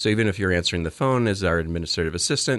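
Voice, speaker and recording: In an American accent, a man with a very deep, low voice speaks with ordinary pitch variation against a quiet background. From Phoenix, Arizona. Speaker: hospital fundraising executive. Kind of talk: interview.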